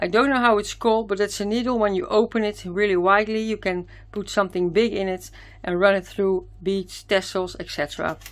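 A woman with a Dutch accent, fairly even intonation and a moderate pace. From Netherlands. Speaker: craft youtuber. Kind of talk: product haul video. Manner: hesitant, many fillers. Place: home room.

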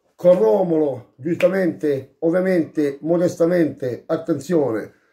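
A man with a Bari accent, high pitch and a dark, mellow tone, at a very slow pace with ordinary pitch variation. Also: quiet background. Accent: Bari Apulian Italian. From Apulia, Bari area; Apulia. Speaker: food vlogger. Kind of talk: casual eating vlog. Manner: animated. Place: home room. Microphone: phone near.

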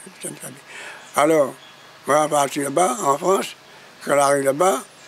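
With a Réunion accent, a man talks at a fairly quick pace in a fairly high pitch, his intonation fairly even over light background noise. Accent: Réunionese Creole-accented French. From Réunion, Grand Bois. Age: 80s+. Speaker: interviewee. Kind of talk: interview answer. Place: garden.

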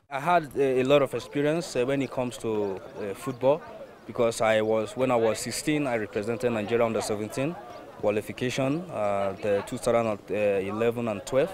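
A man talks at a moderate pace with ordinary pitch variation. The sound is dry with no echo, though noticeable background noise comes through. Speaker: coach. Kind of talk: interview answer. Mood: earnest, calm. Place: open country. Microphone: lapel.

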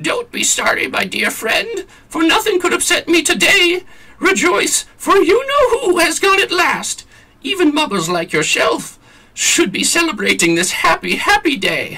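A man does a squeaky, put-on character voice. His pitch is extremely high and his pace is moderate. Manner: gleeful, joyful.

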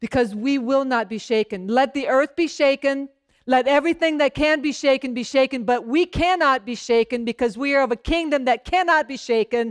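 Over a quiet background, a woman talks at a fairly quick pace in a high pitch. Her pitch varies in an ordinary way, and she hardly pauses. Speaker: pastor. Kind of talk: sermon. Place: church. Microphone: headset.

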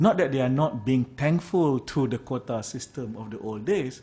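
Somewhat breathy and dark, mellow in tone, a man speaks at a fairly slow pace with lively intonation. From Malaysia. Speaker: politician; panelist. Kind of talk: public lecture. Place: meeting room. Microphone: podium.

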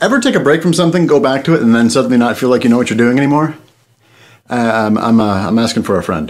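A man talking very fast, with lively intonation and very even loudness. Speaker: vlogger. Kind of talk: casual talk to camera. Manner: enthusiastic. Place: home room.

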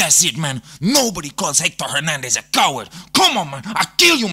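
A man speaks at a high pitch and a moderate pace. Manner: volatile, angry.

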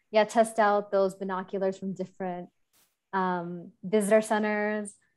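A woman's medium-pitched voice with an American accent, monotone and flat in intonation, at a moderate pace over a quiet background. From Chicago. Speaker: bird conservationist; panelist. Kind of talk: panel discussion. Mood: warm, personal, reflective. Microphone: video call.

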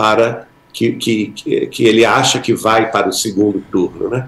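A man at medium pitch amid audible room echo. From Brazil. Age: 60s. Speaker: spiritist author, podcast guest; podcast guest. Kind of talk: podcast interview. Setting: live-streamed podcast studio. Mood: earnest, reflective. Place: home room. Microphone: video call.

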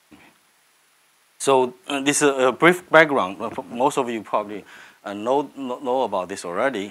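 The pace is moderate, with ordinary pitch variation. Loudness swings widely throughout. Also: man. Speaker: economist. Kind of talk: lecture. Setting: stage with audience. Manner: halting. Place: classroom.

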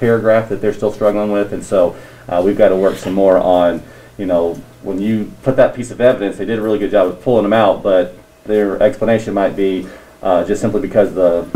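A man with a fairly low pitch speaks in a normal speaking voice. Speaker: teacher in staff meeting. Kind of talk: meeting report. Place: classroom. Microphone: camera far.

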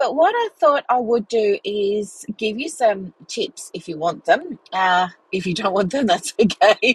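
The sound is dry with no echo. A woman speaks at a fairly slow pace. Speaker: podcast host. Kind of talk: casual podcast chat. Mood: relaxed, warm, chatty. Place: car. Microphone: earbuds.

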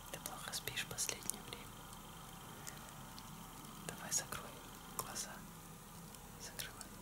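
Whispering and soft-spoken, the voice moves at a fairly slow pace in a soothing tone, with long, frequent pauses. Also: man. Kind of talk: soft intimate talk, ASMR-style role-play. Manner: soft ASMR whisper, soothing. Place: home room. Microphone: phone near.

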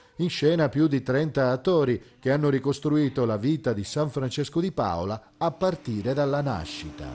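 Over noticeable background noise, a man with a fairly high pitch speaks at a moderate pace with hardly any pauses and ordinary pitch variation. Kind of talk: TV news report narration.

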